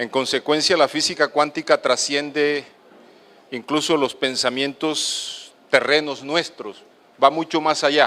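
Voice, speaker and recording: A man speaks at a fairly slow pace in a fairly high pitch, his tone bright and sharp and his intonation fairly even. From Colombian Caribbean coast. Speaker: doctor. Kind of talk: lecture. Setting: auditorium with audience.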